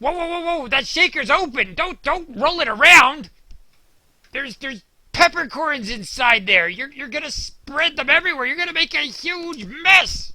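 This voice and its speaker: A cartoonish character voice pitched high. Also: moderate pace. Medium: puppet show. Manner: exasperated.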